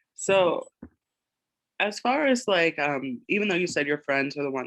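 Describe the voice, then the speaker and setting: A man with a Buffalo accent, in a dry, close sound with no echo. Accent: Buffalo, New York. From Buffalo, New York. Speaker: interviewer. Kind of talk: interview.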